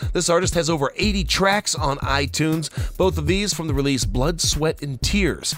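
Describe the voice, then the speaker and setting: Over noticeable background noise, a man speaks at a moderate pace in an enthusiastic tone. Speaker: radio host. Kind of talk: radio DJ patter: upbeat station promos and song intros. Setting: radio show. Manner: brisk, punchy and enthusiastic, with a salesy cadence and repeated slogans.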